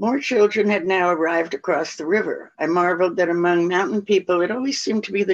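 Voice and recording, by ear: A passage is being read aloud in a natural voice.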